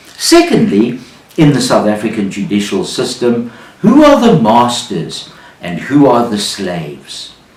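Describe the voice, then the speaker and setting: There is noticeable background noise in this clip. A man speaks at a very slow pace. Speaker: business storyteller. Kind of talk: business storytelling talk to camera.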